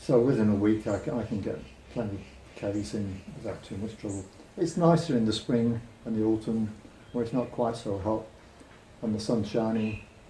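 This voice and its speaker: Speaking with a British accent, a man keeps a moderate pace broken by long, frequent pauses, his pitch fairly low for a man with ordinary pitch variation and audible room echo. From Britain. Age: 70s. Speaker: retired cyclist. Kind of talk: interview.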